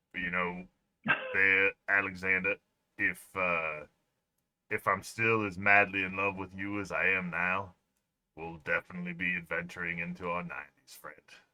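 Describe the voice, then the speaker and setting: Using a put-on character voice, a man speaks with a very deep, low pitch and monotone, flat intonation, leaving long, frequent pauses. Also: moderate pace. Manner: playful, roleplay.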